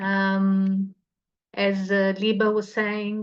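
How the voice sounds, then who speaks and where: Against a quiet background, a woman with a medium pitch speaks with a Portuguese accent. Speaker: cultural association representative. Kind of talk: presentation.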